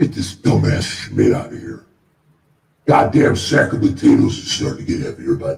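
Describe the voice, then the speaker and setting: A man's gruff, menacing put-on character voice, fairly low in pitch, at a moderate pace, with big swings in loudness and a slight echo. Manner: scary, menacing, gruff.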